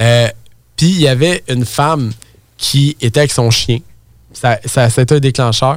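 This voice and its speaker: In a Quebec accent, a man talks with an animated tone. His pitch is medium, with ordinary variation. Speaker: real estate entrepreneur. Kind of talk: casual interview chat.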